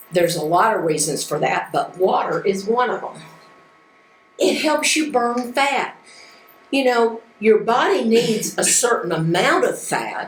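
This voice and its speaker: A woman speaks at a fairly slow pace. Her voice is fairly high, and the room echoes audibly. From United States. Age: 70s. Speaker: life skills teacher. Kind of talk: lecture. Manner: animated.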